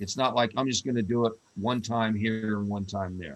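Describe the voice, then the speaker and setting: At a moderate pace, a man speaks in a normal speaking voice with medium pitch and ordinary pitch variation. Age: 60s. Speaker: CBD company representative. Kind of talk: question and answer session.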